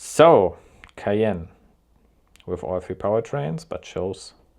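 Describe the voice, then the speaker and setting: A man speaks with a German accent. His pitch is fairly low. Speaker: car YouTuber. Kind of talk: live reaction commentary.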